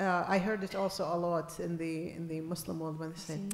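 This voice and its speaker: A woman's fairly quick, fairly low-pitched speech with fairly even intonation, plus audible room echo and noticeable background noise. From Iraq. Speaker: invited speaker, activist. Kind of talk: panel discussion.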